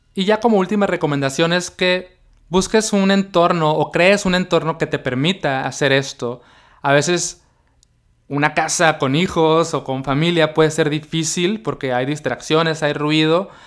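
A man talks in an ordinary speaking voice, fairly high in pitch, with ordinary pitch variation and a fairly slow pace. The recording is very clean, with a silent background. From Mexico, Baja California (Mexicali). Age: 30s. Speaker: podcast host. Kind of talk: solo podcast monologue. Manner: casual, conversational.

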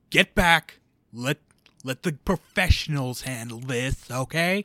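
A man puts on a character voice at a medium pitch, his intonation lively and his pace fairly slow. The sound is dry and close, with no echo. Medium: actual play. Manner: gruff, impatient.

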